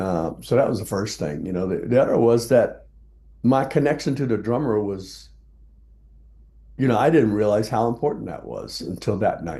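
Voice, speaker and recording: Using an American accent, a man speaks at a medium pitch with a dark, mellow tone, vocal fry and lively intonation. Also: moderate pace. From South Texas. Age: 70s. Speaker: jazz bassist. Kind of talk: interview.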